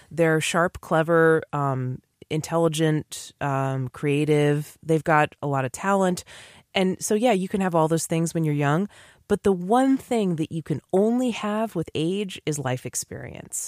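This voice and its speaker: A woman with an ordinary speaking voice and an American accent speaks at a fairly slow pace, her fairly low pitch carried by lively intonation. The recording is very clean with a silent background and a dry, close sound with no echo. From New England, US. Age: 30s. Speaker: podcast guest, academic doctor. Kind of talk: casual chat. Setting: studio.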